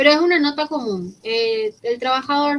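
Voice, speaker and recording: With ordinary pitch variation, this woman keeps a moderate pace. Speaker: law professor. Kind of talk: lecture. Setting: online class, recorded.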